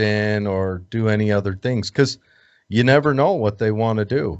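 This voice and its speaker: A man talks with an American accent in an ordinary speaking voice. His pitch is medium with ordinary variation, and his pace is moderate. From United States. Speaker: podcast host. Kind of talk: casual interview chat.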